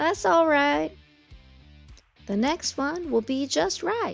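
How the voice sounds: The put-on character voice moves at a slow pace with lively intonation and vocal fry. Faint music sits in the background. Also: woman, high pitch for a woman.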